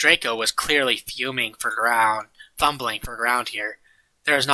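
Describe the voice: The speaker is plainly reading aloud, with fairly even intonation. The background is quiet.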